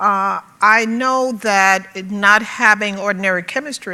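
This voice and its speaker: With an American accent, a woman speaks at medium pitch in a bright, sharp tone with ordinary pitch variation. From US South, Birmingham, Alabama. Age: 60s. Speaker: conference panelist. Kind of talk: panel talk. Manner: halting, frequent fillers.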